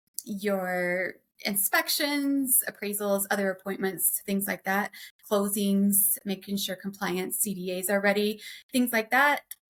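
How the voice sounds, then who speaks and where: In an American accent, a woman speaks fairly slowly at a medium pitch with ordinary pitch variation. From Oklahoma. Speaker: transaction coordinator, business owner. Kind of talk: podcast interview. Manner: casual, many fillers.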